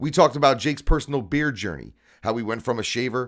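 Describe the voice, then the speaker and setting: Lively intonation from a man at medium pitch on a very clean recording with a silent background. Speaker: podcast host. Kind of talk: scripted narration; casual chat. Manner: loud.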